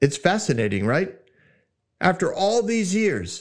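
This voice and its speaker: A loud man speaks at a moderate pace in an animated tone. The background is quiet. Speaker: Bible teaching podcast host. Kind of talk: Bible teaching monologue. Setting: studio.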